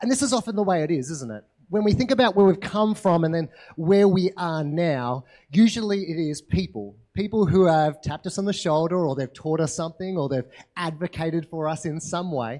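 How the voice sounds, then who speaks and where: With an Australian accent, a man speaks at a fairly quick pace in a high pitch, his dark, mellow tone carrying lively intonation over a quiet background. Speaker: pastor. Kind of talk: sermon. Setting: church.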